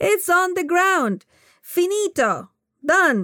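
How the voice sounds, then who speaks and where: Speaking at a very slow pace with a non-native accent, a woman's voice swings very widely in pitch on a very clean recording with a silent background. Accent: noticeable foreign. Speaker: author reading her own book. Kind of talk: audiobook narration. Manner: warm, expressive.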